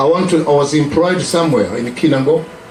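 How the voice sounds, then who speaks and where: Speaking at a moderate pace, a man with a Kenyan accent has a fairly high pitch and ordinary pitch variation, with audible room echo and noticeable background noise. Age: 70s. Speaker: preacher. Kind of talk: testimony. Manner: halting.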